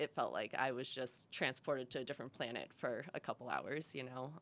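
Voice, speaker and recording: A woman speaks with an American accent. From Massachusetts. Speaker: van-life traveler. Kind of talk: casual interview chat.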